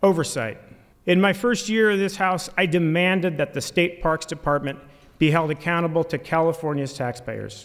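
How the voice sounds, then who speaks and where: Against a quiet background, a man with a high-pitched voice talks at a moderate pace with ordinary pitch variation. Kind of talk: formal inaugural speech. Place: hall.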